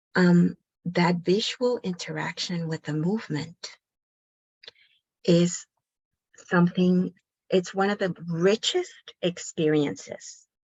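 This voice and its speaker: Somewhat breathy and fairly low in pitch, a woman speaks at a very slow pace with fairly even intonation and long, frequent pauses. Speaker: pediatric occupational therapist. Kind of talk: online workshop presentation.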